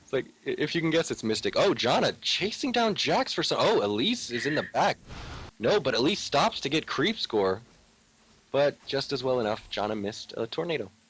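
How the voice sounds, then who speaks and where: Vocal fry marks this man's fairly high voice, which swings very widely in pitch. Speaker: esports commentator. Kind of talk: live commentary. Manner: fast; animated.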